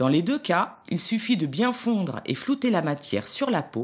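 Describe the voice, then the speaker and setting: The voice has vocal fry and very wide pitch swings. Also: woman. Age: 40s. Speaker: image consultant, volunteer. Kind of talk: scripted narration of beauty tips.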